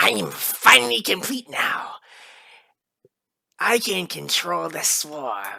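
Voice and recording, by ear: A put-on character voice, raspy and middle-pitched, at a very slow pace with long, frequent pauses.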